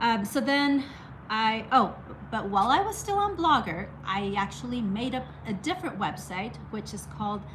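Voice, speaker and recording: In a Spanish accent, a woman speaks at a fairly slow pace amid noticeable background noise and audible room echo. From Mexico. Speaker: art YouTuber. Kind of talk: casual story time monologue. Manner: halting, many restarts.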